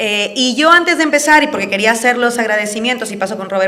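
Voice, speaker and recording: The recording carries noticeable background noise and audible room echo. Through it, a woman talks with ordinary pitch variation. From Peru (Andean). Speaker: political speaker. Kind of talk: public talk. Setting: event with live audience. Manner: passionate.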